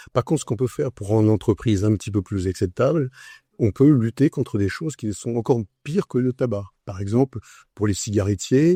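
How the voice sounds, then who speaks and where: The man's dark, mellow tone comes through a dry, close sound with no echo as he talks at a fairly quick pace with ordinary pitch variation. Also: very clean recording, silent background. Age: 70s. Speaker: entrepreneur, communications agency founder. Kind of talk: interview.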